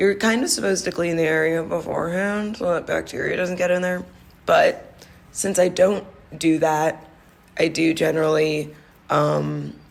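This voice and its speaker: A woman speaking at a moderate pace, with audible room echo. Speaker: skincare podcast host. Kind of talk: casual solo monologue. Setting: office conference room. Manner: hesitant, many fillers.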